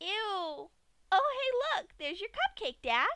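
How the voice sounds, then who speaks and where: A squeaky put-on character voice, at a fairly slow pace with very wide pitch swings. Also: woman. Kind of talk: grimdark fanfic reading. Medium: read story. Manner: bubbly, cheerful, joking.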